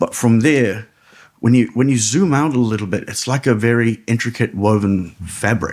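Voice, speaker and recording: In a New Zealand accent, the speaker keeps a moderate pace with ordinary pitch variation. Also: man. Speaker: ring announcer. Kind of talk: podcast interview answer. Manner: casual, storytelling.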